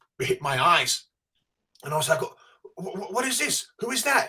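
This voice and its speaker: With an English accent, a man talks at a fairly slow pace in a bright, sharp tone. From England. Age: 50s. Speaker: podcast co-host, comic book expert. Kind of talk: casual chat.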